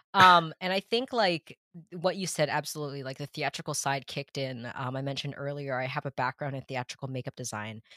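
A fairly quick speaker with an American accent. The recording is very clean, with a silent background. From Massachusetts, US. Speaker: illustrator and art director. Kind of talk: casual interview chat.

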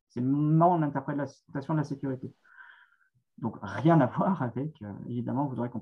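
The voice is somewhat breathy. It belongs to a man with a fairly high pitch. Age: 40s. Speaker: author and essayist. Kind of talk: interview answering questions. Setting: video call.

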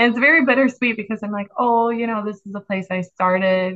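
This is an ordinary speaking voice from a woman. Her medium pitch shows ordinary pitch variation. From Chicago. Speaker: ICU nurse. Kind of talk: casual interview chat.

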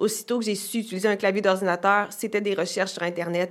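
A woman talks at a fairly quick pace with fairly even intonation and a medium pitch. She has a normal speaking voice. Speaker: actress and author. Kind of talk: casual chat.

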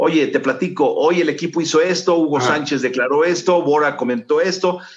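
Very fast speech from a man with a fairly high pitch. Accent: Mexican. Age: 60s. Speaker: sports journalist. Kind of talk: interview.

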